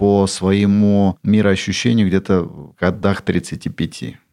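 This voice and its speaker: A man's dark, mellow tone. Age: 50s. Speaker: business owner. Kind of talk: personal story.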